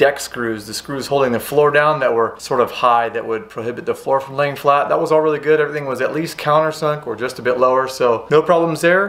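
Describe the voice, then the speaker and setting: The speech moves at a fairly quick pace with hardly any pauses. Pitch variation is ordinary. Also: man. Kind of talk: tutorial. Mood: upbeat, excited. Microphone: phone near.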